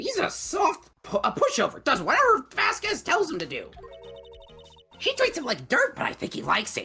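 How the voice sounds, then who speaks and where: Faint music sits behind a man doing a put-on character voice, croaky and extremely high in pitch, delivered at a moderate pace. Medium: stage play. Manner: shrill, ranting.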